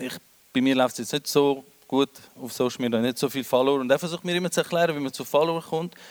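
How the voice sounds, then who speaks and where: At a very fast pace, a man talks with a fairly high pitch and ordinary pitch variation, the sound dry and close with no echo. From Switzerland, Winterthur. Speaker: comedian. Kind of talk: stand-up. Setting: stage with audience.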